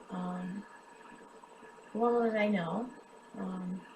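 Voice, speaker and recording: A woman with an American accent speaks with ordinary pitch variation amid noticeable background noise and audible room echo. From US Midwest, western Kansas. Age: 30s. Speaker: cancer patient and charity drive host. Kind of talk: personal testimony. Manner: halting, many filler ums.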